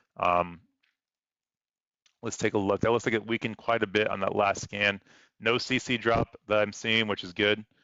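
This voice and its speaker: At a fairly quick pace, a man speaks in a monotone, flat way with a fairly low pitch. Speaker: weather livestreamer. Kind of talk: live commentary. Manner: fast.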